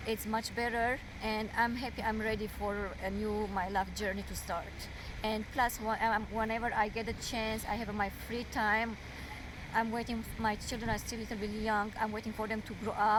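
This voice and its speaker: A woman with a non-native accent, fairly high pitch, monotone, flat intonation and moderate pace, in audible room echo. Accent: foreign. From overseas, Arabic- and Armenian-speaking region. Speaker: domestic violence survivor. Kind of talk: interview testimony. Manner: halting.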